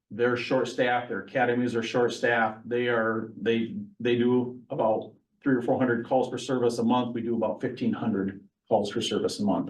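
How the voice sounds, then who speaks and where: This man speaks with an American accent at a medium pitch. His intonation is monotone and flat, and the room echo is audible. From central Michigan. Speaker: county sheriff. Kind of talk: public meeting update. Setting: council meeting at village hall. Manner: fast.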